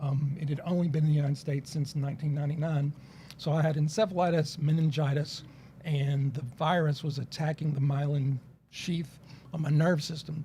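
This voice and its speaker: A dark, mellow, somewhat breathy voice at a fairly quick pace, with monotone, flat intonation. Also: man. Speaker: lawyer. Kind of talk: casual chat. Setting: studio.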